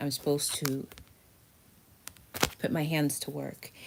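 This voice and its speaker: This woman's voice is very deep and low in pitch. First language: not English. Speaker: tarot reader. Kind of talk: tarot reading video. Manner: casual.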